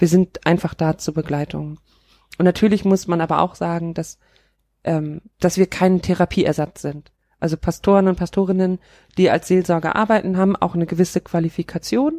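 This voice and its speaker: A woman speaks with a fairly low pitch, a dark, mellow tone and fairly even intonation. The recording is very clean and dry, close with no echo and a silent background. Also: moderate pace. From northern Germany (Kiel, Schleswig-Holstein). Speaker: pastor. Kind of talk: podcast interview.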